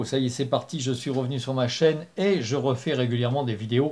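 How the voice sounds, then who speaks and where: Somewhat breathy speech on a very clean recording with a silent background. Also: man. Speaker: spiritual channel host. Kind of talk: spoken talk to camera. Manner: hesitant with fillers.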